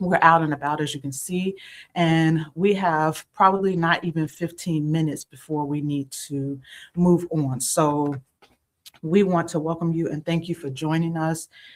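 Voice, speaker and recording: A woman talks in an ordinary speaking voice, her pitch fairly low. Her pace is moderate and her intonation fairly even. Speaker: ministry trainer and co-host. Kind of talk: live-stream Q&A. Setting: outdoors on the go.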